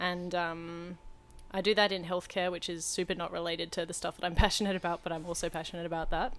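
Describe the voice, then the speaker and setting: A woman talks at a very fast pace with a fairly low pitch. The recording is very clean, with a silent background. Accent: Australian. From Western Australia, Perth. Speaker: podcast co-host. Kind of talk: casual chat. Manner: animated.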